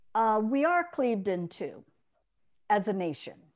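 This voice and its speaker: Music plays in the background as a woman with an American accent speaks. Her fairly high voice has lively intonation. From US South, Monroeville, Alabama. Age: old. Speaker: journalist and columnist. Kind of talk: interview. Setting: video call.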